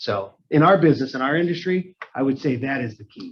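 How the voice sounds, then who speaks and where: Somewhat breathy, a man's voice sits at a medium pitch with ordinary pitch variation. He speaks at a fairly quick pace. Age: 40s. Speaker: real estate team leader. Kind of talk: interview Q&A.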